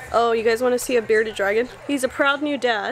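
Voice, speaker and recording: Against light background noise, a woman speaks at a high pitch with fairly even intonation. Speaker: vlogger. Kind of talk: casual vlog chat. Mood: relaxed, chatty. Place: home room. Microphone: phone near.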